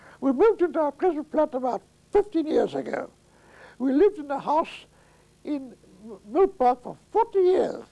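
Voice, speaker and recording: A man speaks at an extremely high pitch with a dark, mellow tone and lively intonation. His moderate pace comes across in a dry, close sound with no echo. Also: long, frequent pauses. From Latvia. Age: 80s+. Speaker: retired attorney. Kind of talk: interview answer. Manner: hesitant, reminiscing.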